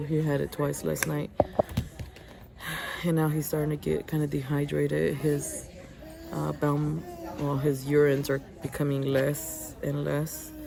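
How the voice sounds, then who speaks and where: Over noticeable background noise, a woman whispers with long, frequent pauses. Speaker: vlogger, mother of a sick baby. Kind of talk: casual vlog. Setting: hospital. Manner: whispering.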